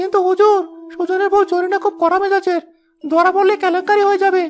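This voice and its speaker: A cartoonish character voice talks at a moderate pace with music in the background. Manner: obsequious.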